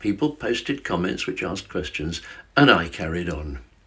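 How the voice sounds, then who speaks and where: A man with a southern English accent shows vocal fry and very wide pitch swings. The recording is very clean, its background silent. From London area, England. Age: 70s. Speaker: retired teacher and social media creator. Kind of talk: casual direct-to-camera talk. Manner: stilted in early videos; halting, repeats words.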